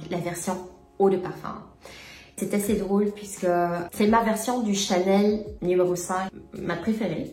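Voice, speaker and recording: A woman with a Luxembourgish accent and medium pitch, with audible room echo. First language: Luxembourgish (speaking French). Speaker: perfume YouTuber. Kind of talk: casual vlog talk to camera. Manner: hesitant, many fillers.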